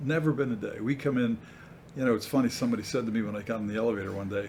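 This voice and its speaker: This speaker talks at a very fast pace with an American accent. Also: man. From New York area. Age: 70s. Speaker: mayor. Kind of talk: interview.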